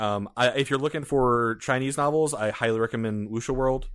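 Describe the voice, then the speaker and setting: A man with an American accent has a normal speaking voice at a medium pitch. His intonation is fairly even and his pace fairly quick. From Louisiana, US. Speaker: web novel podcaster. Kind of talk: casual chat.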